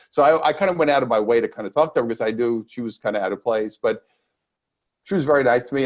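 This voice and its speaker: His words come out very fast. The man's pitch is medium. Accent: American. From New York, Brooklyn. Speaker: energy healer and sales author. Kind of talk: interview.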